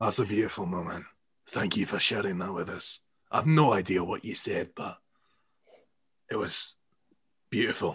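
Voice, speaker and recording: A raspy put-on character voice at a moderate pace, with ordinary pitch variation and long, frequent pauses. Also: man, fairly low pitch for a man. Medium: actual play. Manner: earnest.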